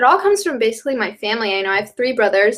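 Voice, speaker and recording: With a slight Southern US accent, a woman talks at a fairly high pitch. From US South, North Carolina. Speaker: college student, brand ambassador. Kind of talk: interview.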